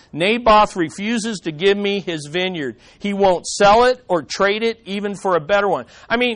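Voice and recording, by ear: The text is read aloud. The delivery is natural.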